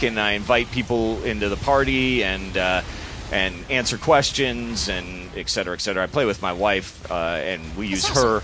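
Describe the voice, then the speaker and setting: A man with a fairly low pitch speaks at a moderate pace with lively intonation. Music plays in the background. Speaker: game developer. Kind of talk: gameplay demo interview. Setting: studio. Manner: halting.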